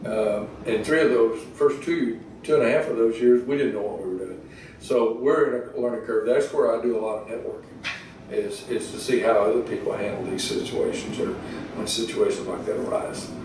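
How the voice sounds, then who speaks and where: Moderate-paced speech from a man, with noticeable background noise and audible room echo. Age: 60s. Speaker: rural equipment dealership co-owner. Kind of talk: interview. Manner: halting, many fillers and restarts.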